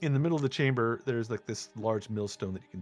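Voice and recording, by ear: The pitch shifts in an ordinary way. The text is read aloud in a natural voice.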